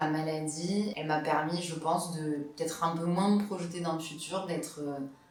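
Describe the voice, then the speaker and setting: With noticeable background noise and audible room echo, a woman speaks in a very deep, low pitch and fairly even intonation. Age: 20s. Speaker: student and patient. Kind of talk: testimony. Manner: hesitant, many fillers.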